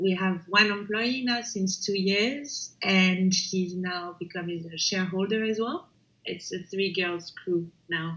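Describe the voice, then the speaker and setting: The speaker has a French accent and a fairly slow pace. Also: woman, medium pitch for a woman, ordinary pitch variation. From France, Paris. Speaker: startup founder and CEO. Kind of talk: interview. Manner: hesitant, many fillers.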